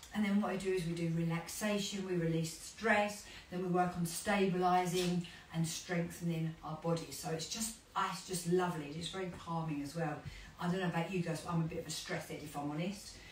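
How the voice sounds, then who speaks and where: Speaking at a fairly quick pace, a woman with a fairly low voice is heard over noticeable background noise, with audible room echo. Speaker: fitness instructor. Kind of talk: casual chat while exercising. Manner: fast; animated.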